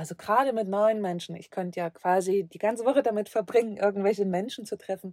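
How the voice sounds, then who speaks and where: A woman's dark, mellow voice at a medium pitch and moderate pace, with ordinary pitch variation and big swings in loudness. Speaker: travel podcaster living in a van. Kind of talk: solo podcast monologue. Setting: inside a van. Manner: calm, reflective; occasionally halting.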